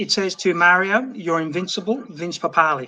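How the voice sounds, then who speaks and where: Raising and projecting his voice, a man with an Australian accent speaks at a moderate pace in a high pitch with ordinary pitch variation. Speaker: overseas fan. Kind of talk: casual chat.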